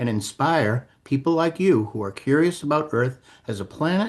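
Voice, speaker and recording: Against a quiet background, a man with a fairly high pitch speaks at a moderate pace with very wide pitch swings. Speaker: astronomer and science educator. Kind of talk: podcast host introduction.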